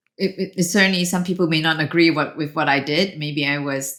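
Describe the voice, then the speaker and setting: A woman's fairly quick speech with ordinary pitch variation on a very clean recording with a silent background. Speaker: venture capitalist and entrepreneur. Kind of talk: podcast interview.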